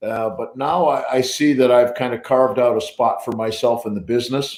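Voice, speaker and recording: A man with a western New York accent speaks with fairly even intonation. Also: medium pitch for a man, moderate pace. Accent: American (western New York). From US Northeast (Buffalo, New York). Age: 60s. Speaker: professional drummer. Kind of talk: casual interview on a livestream.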